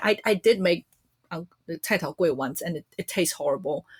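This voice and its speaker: In a very clean recording with a silent background, a woman speaks. She has a Chinese accent and a moderate pace. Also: dry, close sound with no echo. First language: Mandarin Chinese. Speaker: podcast host. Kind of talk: casual chat. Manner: chatty.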